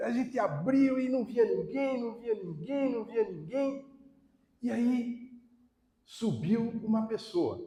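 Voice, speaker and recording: A man talks at a very slow pace in an extremely high pitch. His tone is dark and mellow, and his intonation lively. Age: 60s. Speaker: lecturer on alcoholism, volunteer. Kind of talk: public talk to an audience. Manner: casual, conversational.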